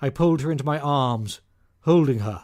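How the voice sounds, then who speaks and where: Lively intonation marks this man's fairly high-pitched voice. He talks at a fairly slow pace. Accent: British. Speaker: audiobook narrator. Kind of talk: audiobook narration.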